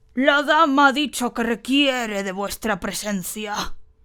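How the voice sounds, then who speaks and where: In a put-on character voice, a woman growls and wheezes at a high pitch, fairly slowly, with ordinary pitch variation. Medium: read story. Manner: archaic, formal and menacing.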